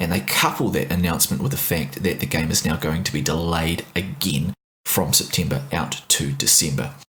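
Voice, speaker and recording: A man talks with a New Zealand accent. He keeps a moderate pace. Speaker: podcast co-host. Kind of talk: casual discussion podcast. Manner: mellow.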